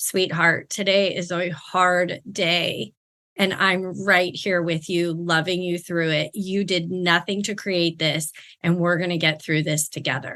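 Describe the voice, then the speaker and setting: In a put-on character voice, the speaker sounds soft-spoken and raspy, going at a fairly slow pace with monotone, flat intonation. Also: woman, fairly low pitch for a woman. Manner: soft, comforting, loving.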